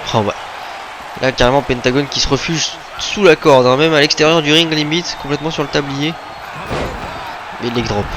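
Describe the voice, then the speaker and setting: Over noticeable background noise, a man with a fairly high pitch and an animated tone talks at a fairly quick pace, leaving long, frequent pauses. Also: ordinary pitch variation. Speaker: wrestling video game commentator. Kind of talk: live commentary. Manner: fast.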